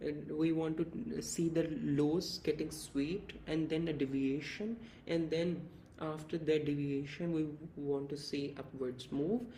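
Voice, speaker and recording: Audible room echo surrounds a man's fairly high voice. He speaks at a fairly slow pace with fairly even intonation. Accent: non-native. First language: not English. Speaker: crypto trading analyst, YouTuber. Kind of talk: tutorial.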